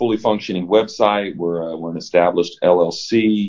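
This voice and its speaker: Speaking in an American accent, a man keeps a moderate pace. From US Midwest (Evansville, Indiana). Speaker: school principal. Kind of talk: casual interview. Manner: casual, energetic.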